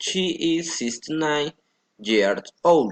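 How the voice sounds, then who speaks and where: With a Colombian accent, a man speaks very slowly in a high voice. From Colombia, Florencia, Caquetá. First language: Spanish. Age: 20s. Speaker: language student. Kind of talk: prepared self-introduction for English class. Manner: halting.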